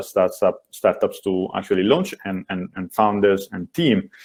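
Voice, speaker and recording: This man has a fairly low pitch and speaks with an Italian accent. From Italy. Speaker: venture capital investor. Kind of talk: panel discussion. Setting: webinar video call. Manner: hesitant, many fillers.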